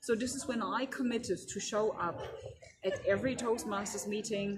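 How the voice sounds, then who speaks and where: Speaking with a German accent, a woman keeps a moderate pace. Background noise is noticeable. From Germany. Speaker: keynote speaker. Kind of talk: interview. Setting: conference.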